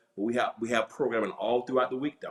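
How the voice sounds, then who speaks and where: This is a man speaking with a Southern US accent. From US South. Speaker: pastor. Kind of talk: casual chat. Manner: fast.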